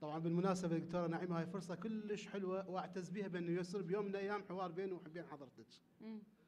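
At a very fast pace and with hardly any pauses, a man talks. His high pitch stays fairly even in intonation. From Iraq. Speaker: conference panel researcher. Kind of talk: conference talk. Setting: conference hall with audience. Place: hall. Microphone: podium.

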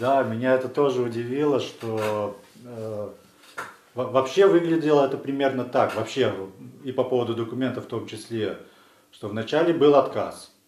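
Audible room echo surrounds a man's medium-pitched voice, which shows ordinary pitch variation. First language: Russian (speaking Latvian). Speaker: legal defender. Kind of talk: video statement. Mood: critical, indignant. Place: studio.

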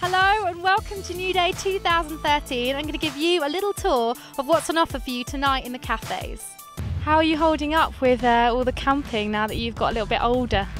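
A woman's high-pitched voice with a relaxed tone, lively intonation and fairly quick pace, dry with no echo, over clear music in the background. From England. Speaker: TV presenter. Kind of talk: event presenting, interviews. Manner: lively, relaxed, personable. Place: open country. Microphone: handheld.

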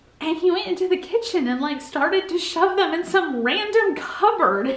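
With audible room echo around her, a woman speaks at an extremely high pitch. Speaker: family vlogger. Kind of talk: casual vlog chat. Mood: playful, teasing, laughing. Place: home room. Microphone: phone near.

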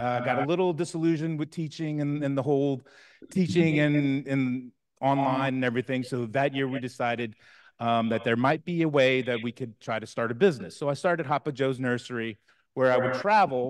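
A man talks fairly quickly, his pitch varying in an ordinary way, against a quiet background. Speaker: guest. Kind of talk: lecture. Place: hall.

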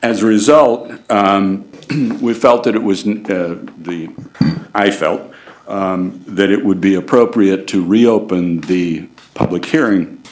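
Pitch varies in an ordinary way as the speaker talks at a very slow pace. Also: man, fairly low pitch for a man. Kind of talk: formal meeting statement. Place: hall. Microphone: podium.

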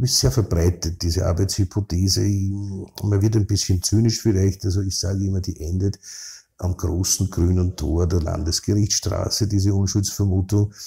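In a Viennese accent, a somewhat breathy voice with a dark, mellow tone moves at a moderate pace with fairly even intonation on a very clean recording with a silent background. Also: man, very deep, low pitch for a man. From Vienna, Austria (16th district, working-class). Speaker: criminal defence lawyer. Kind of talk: interview. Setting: his law office.

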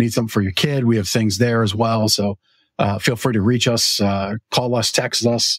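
A man's unremarkable speaking voice at medium pitch, fairly quick and fairly even in intonation, dry and close with no echo on a very clean recording with a silent background. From Canada. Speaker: talk show host and mattress store owner. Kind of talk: casual chat. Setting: store.

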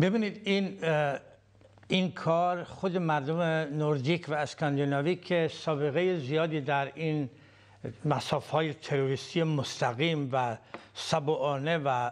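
A man speaks very slowly at a fairly high pitch with ordinary pitch variation against a quiet background. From Iran. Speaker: political activist. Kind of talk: interview. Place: studio.

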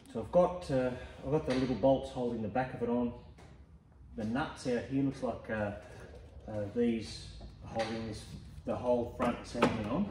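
A man speaking at a fairly slow pace, with light background noise and audible room echo. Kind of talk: tutorial. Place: garage. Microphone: phone near.

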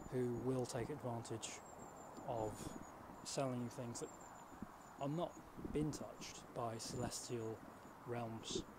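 A man speaks at a very slow pace, stopping often for long pauses. Loud background noise runs behind him. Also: dry sound with no echo. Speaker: presenter. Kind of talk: mock documentary address to camera. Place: open country. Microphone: handheld.

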